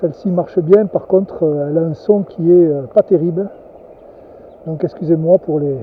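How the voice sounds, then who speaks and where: The voice is soft-spoken at a moderate pace. Long, frequent pauses come often. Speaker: angler. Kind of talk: vlog narration. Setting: outdoors by a river. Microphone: new camera mic, poor nasal sound.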